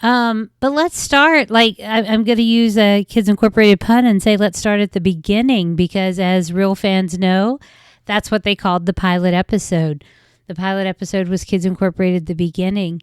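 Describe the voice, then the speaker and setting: Speaking with a West Virginia accent, a woman uses an animated tone at a medium pitch, in a dry, close sound with no echo. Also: ordinary pitch variation, moderate pace, very clean recording, silent background. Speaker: podcast host. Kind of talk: casual podcast monologue.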